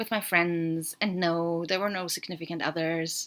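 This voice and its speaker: A woman talks at a moderate pace with a German accent. Her pitch sits fairly low. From Austria. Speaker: podcaster. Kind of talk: solo podcast monologue.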